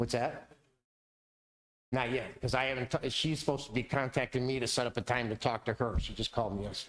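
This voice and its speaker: Very fast delivery with fairly even intonation. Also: man, medium pitch for a man. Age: 60s. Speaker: resident speaking at city council. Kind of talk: public comment at council meeting. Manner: halting, repetitive.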